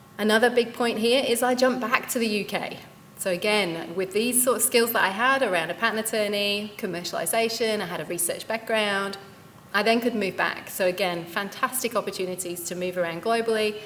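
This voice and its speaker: Against noticeable background noise, a woman with a British accent speaks at a fairly high pitch. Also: ordinary pitch variation, fairly quick pace. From UK. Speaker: company founder and CEO, career speaker. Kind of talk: career talk at event.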